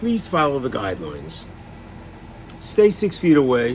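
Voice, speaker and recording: Noticeable background noise sits under a man whose voice makes very wide pitch swings. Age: 70s. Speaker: person living with Alzheimer's sharing experience. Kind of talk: personal vlog talk. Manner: halting.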